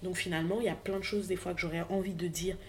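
A somewhat breathy woman's voice at medium pitch. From French Antilles. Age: 20s. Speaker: podcaster. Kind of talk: personal testimony monologue.

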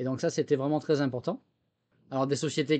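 Against a quiet background, a man speaks with a fairly high pitch and a dark, mellow tone. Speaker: former military software chief. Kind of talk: interview. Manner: halting, many repetitions and fillers.

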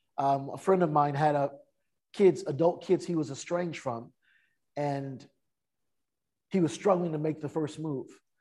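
A fairly high-pitched man's voice with a Californian accent, dark and mellow in tone, at a moderate pace with fairly even intonation and long, frequent pauses. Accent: Californian American. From US West Coast, San Francisco Bay Area. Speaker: author and speaker. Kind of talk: interview.

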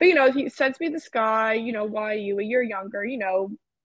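In an American accent, a woman with a fairly high pitch and ordinary pitch variation has an unremarkable speaking voice. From New Jersey. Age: 20s. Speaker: podcast guest. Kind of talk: casual chat.

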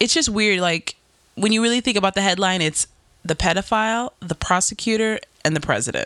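A woman speaks in a normal speaking voice, with a medium pitch, ordinary pitch variation and an American accent. The sound is dry and close with no echo. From New York. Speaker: podcast host. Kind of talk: casual chat.

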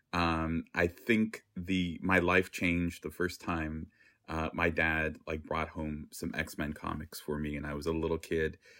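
A man speaks at a fairly slow pace in a very deep, low pitch, his tone bright and sharp and his intonation monotone and flat. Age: 40s. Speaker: artist and curator. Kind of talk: interview. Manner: hesitant, many fillers.

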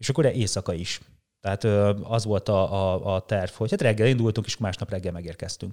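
A man talks at a fairly quick pace in a fairly low, dark, mellow voice with fairly even intonation. The recording is very clean, with a silent background. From rural Hungary. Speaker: long-distance cyclist and musician. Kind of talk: casual interview chat. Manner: halting, many repetitions.

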